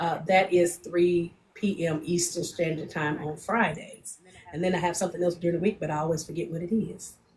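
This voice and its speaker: Against noticeable background noise, a woman talks at a fairly quick pace with a fairly low pitch and monotone, flat intonation. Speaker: podcast co-host and spiritual practitioner. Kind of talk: casual chat. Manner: loud.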